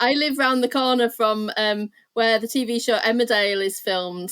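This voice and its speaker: Fairly high in pitch, a woman with a Yorkshire accent talks at a fairly quick pace with ordinary pitch variation, in a dry, close sound with no echo. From northern England, Leeds, Yorkshire. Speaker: art therapist. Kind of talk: interview.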